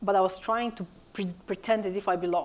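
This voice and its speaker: A woman with a Bulgarian accent speaks at a medium pitch in a flat monotone. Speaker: media industry executive, panellist. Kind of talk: panel discussion.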